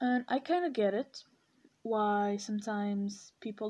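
A woman speaks at a medium pitch with a dark, mellow tone. The background is quiet. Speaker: podcaster. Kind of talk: solo commentary monologue.

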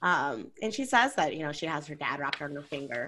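A woman talks at a very fast pace in a bright, sharp tone, with vocal fry. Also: very clean recording, silent background. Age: 20s. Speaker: podcast co-host. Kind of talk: casual chat.

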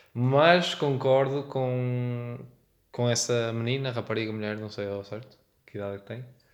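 A man of medium pitch speaks at a fairly slow pace with fairly even intonation. His loudness swings widely, and the room echo is audible. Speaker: podcast producer and designer. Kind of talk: casual chat.

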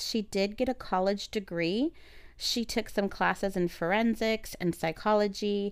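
Speaking at a fairly slow pace, a woman uses medium pitch with ordinary variation and has an unremarkable speaking voice. The recording is very clean, with a silent background. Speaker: podcast host. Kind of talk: casual chat, story retelling.

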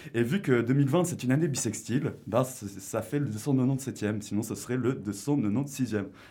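A man speaks in a dark, mellow tone that is somewhat breathy. His pitch moves with ordinary variation. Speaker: radio co-host and columnist. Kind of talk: casual radio talk show. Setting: radio studio.

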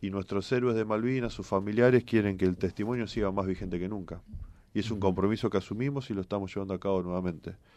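A man speaks very fast with a Rioplatense accent. His tone is dark and mellow, and his intonation stays fairly even. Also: fairly low pitch for a man. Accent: Argentine Spanish (rioplatense). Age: 40s. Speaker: politician, candidate for governor. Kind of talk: radio interview.

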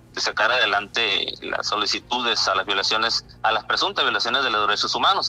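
A man is speaking. Music plays in the background. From Mexico, Baja California (Isla de Cedros). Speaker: local correspondent. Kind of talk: radio interview.

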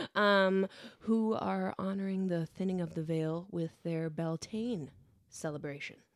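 A woman talks in an ordinary speaking voice, pitched fairly low. Her pitch variation is ordinary. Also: fairly slow pace. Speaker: podcast co-host. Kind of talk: casual chat. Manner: laughs often.

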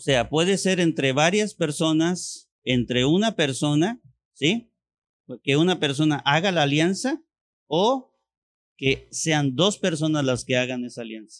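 Against a quiet background, a man with a normal speaking voice and fairly high pitch talks at a fairly slow pace. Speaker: pastor. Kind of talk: sermon.

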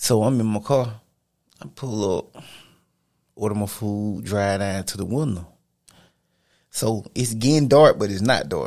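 This man's voice sits at a fairly low pitch with ordinary pitch variation, moving at a fairly slow pace broken by long, frequent pauses. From US South, Georgia (Cochran). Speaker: army veteran and personal trainer. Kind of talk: casual chat.

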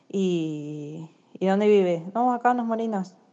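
A woman speaks with ordinary pitch variation. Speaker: courier company office worker. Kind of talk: recorded voice message, casual.

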